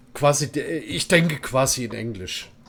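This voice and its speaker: A man's intonation is lively even though he talks at a fairly slow pace. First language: German. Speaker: game streamer. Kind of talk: casual chat with stream viewers; reading game text aloud while streaming. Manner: halting when reading English.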